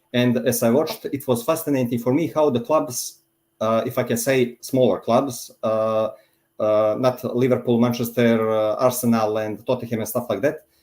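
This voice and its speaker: Fairly even in intonation, a man with a Montenegrin accent speaks at medium pitch and a moderate pace on a very clean recording with a silent background. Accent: Montenegrin accent, noticeable. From Montenegro. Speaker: football fan. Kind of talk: casual chat. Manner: halting.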